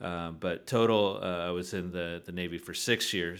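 An American-accented man with a very deep, low pitch, fairly even intonation and a moderate pace on a very clean recording with a silent background. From Southern California, San Diego. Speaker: real estate developer. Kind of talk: interview. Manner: halting, many fillers.

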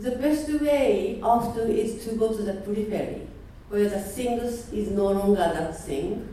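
Speaking at a fairly slow pace, a woman with a fairly high pitch and ordinary pitch variation is heard with audible room echo and noticeable background noise. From Japan. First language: Japanese. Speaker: artist and teacher. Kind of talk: seminar talk.

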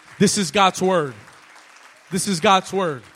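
Over crowd noise in the background, a man talks in a high pitch. His tone is animated. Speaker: preacher. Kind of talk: sermon. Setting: church congregation. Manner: animated call-and-response, urging the congregation to repeat lines aloud; emphatic, rising preacher cadence.

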